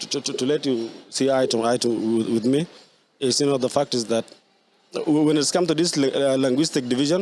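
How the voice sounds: A man talks at a fairly quick pace with a slightly mellow tone. His pitch is medium, with ordinary variation.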